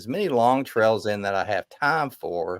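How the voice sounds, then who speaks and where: The pace is fairly slow, with ordinary pitch variation. The recording is very clean, with a silent background. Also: man. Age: 60s. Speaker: backpacker. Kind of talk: casual chat. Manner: halting, repeats words.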